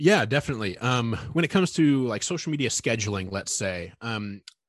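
A normal speaking voice with lively intonation moves at a moderate pace over a quiet background. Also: man. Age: 30s. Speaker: content marketing editor. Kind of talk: interview.

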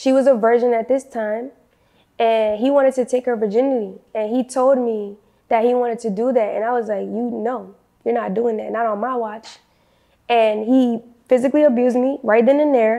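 Moderately paced speech comes in a dark, mellow tone with monotone, flat intonation. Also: woman, fairly high pitch for a woman. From New Orleans, Louisiana. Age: 20s. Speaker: former cult member. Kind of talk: interview testimony.

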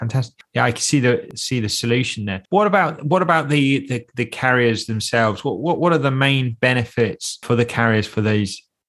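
Speaking at a fairly quick pace with hardly any pauses, the man uses a normal speaking voice, medium in pitch and with ordinary pitch variation. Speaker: podcast host. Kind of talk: interview.

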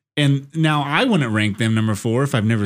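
With an American accent and a normal speaking voice, a man talks at a fairly slow pace and medium pitch with ordinary pitch variation on a very clean recording with a silent background. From Sacramento County, California. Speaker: guest, college football fan. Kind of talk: casual chat.

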